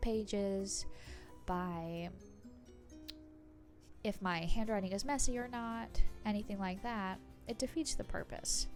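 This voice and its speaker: With music in the background, a woman speaks at a very slow pace and with ordinary pitch variation. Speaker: bullet journal creator. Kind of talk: casual conversational voice-over. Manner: slow-paced.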